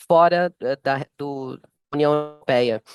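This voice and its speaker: Someone with a Brazilian accent speaks with fairly even intonation in a dry, close sound with no echo. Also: man. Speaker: software sales manager. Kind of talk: panel talk.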